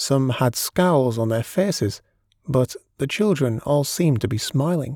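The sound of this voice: Lively intonation marks an unforced reading voice. The background is quiet.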